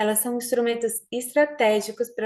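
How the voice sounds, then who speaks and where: Her tone dark and mellow, a woman speaks at a fairly slow pace with a high pitch. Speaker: audit institution official. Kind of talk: formal closing speech. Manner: formal.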